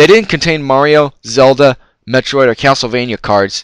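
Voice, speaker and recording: On a very clean recording with a silent background, a man with a normal speaking voice talks at a medium pitch and a fairly quick pace. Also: dry, close sound with no echo. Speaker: retro game collector and reviewer. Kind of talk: unscripted card review talk.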